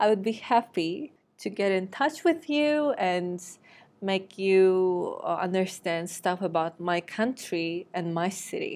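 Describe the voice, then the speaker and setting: On a very clean recording with a silent background, the speaker talks at a very slow pace in a Turkish accent with lively intonation. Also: woman. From Turkey. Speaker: podcast host. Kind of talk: casual monologue. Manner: hesitant with fillers.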